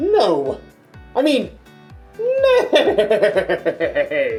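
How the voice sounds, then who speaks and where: A put-on character voice at an extremely high pitch, with faint music in the background. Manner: silly, comic.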